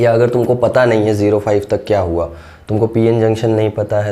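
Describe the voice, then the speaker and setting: Audible echo from the room follows talking delivered at a moderate speed. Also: man. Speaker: physics teacher. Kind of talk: lecture.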